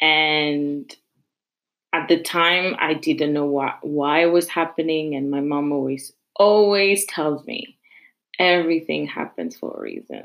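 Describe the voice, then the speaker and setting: Her pitch is very deep and low for a woman. She speaks at a fairly slow pace. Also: fairly even intonation. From France, Paris suburbs. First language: French. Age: 20s. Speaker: podcast host, university student. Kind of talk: personal monologue.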